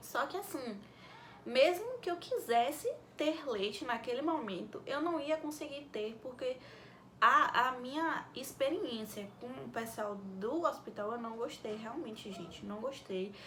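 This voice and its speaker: A soft-spoken woman with a high pitch and lively intonation talks at a fairly slow pace, her loudness swinging widely, with audible room echo and noticeable background noise. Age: young. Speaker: vlogger, mother. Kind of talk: casual Q&A vlog.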